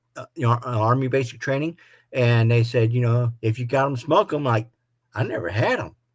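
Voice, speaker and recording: Somewhat breathy, a man talks at a moderate pace and a medium pitch. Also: ordinary pitch variation. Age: 60s. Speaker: motorcycle vlogger. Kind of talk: live stream chat.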